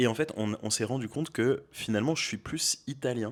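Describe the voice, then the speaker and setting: In a very clean recording with a silent background, the voice moves at a moderate pace with fairly even intonation. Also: man. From France, Beaujolais (Villefranche). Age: 20s. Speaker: aspiring restaurant owner. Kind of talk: casual interview. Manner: hesitant, many fillers.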